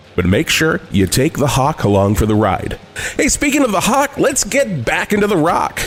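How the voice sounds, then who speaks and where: Noticeable background noise sits behind a man speaking at a moderate pace. His loudness stays very even throughout. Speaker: radio host, comedian. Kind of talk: classic rock radio DJ break with comedic banter.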